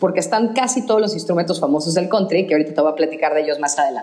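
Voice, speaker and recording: A woman's lively intonation comes through noticeable background noise, with audible room echo around her. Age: 40s. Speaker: architect. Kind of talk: casual chat.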